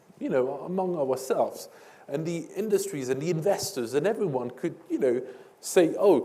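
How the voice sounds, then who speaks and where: Audible room echo surrounds a man with a high-pitched voice. He talks at a moderate pace with lively intonation. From France. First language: French. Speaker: energy policy expert. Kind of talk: panel discussion. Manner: halting, many fillers.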